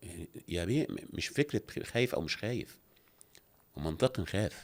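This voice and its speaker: In an Egyptian accent, a man with a fairly low pitch speaks at a moderate pace with very wide pitch swings on a very clean recording with a silent background. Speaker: actor. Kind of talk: interview. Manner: animated.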